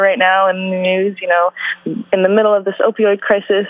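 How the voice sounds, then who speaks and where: A woman talks at a fairly quick pace in a Canadian accent. Hers is a plain, everyday voice at a medium pitch. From Vancouver, Canada. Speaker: journalist and author. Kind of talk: interview.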